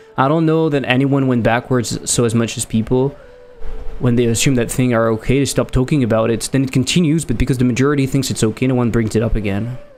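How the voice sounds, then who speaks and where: Music plays behind a man with a French accent who speaks at a very fast pace in a medium pitch, keeping his loudness very even. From France. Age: 30s. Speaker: game developer streamer. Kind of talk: casual livestream chat. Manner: animated.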